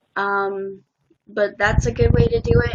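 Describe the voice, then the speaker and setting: An ordinary speaking voice with an American accent, at a fairly slow pace. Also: woman. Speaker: live streamer. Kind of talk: casual chat.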